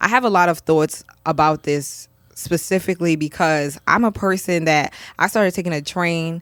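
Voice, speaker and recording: At a moderate pace, a woman with a New York accent speaks at a fairly low pitch with ordinary pitch variation, in a very clean recording with a silent background. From New York, Brooklyn. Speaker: podcast host. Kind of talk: casual chat.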